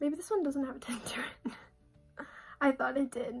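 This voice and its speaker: With music in the background, a woman speaks in a high-pitched voice with lively intonation. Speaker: beauty vlogger. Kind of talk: makeup tutorial chat. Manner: casual, filler-heavy.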